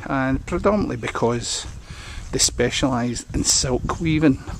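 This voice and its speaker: Against noticeable background noise, a man with a Scottish accent speaks with ordinary pitch variation. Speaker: local historian and walk guide. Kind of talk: guided walk narration. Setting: outdoors, walking village streets. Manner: casual, hesitant.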